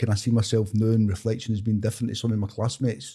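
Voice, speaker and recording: A man with a west of Scotland accent talks at a very fast pace in a medium pitch. His tone is dark and mellow, and somewhat breathy. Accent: west of Scotland Scottish. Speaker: author. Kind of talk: interview conversation.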